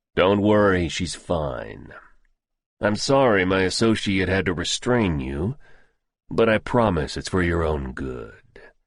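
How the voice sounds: A man puts on a character voice that is gruff, raspy and very deep, low in pitch, with very wide pitch swings. He speaks at a fairly slow pace.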